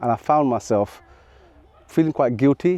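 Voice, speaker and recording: This man's voice has a dark, mellow tone at a moderate pace, recorded with a dry, close sound and no echo. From England (moved from Sylhet, Bangladesh at age four). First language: Sylheti Bengali. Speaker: maths teacher and video creator. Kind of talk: personal storytelling to camera. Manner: reflective, with hesitations.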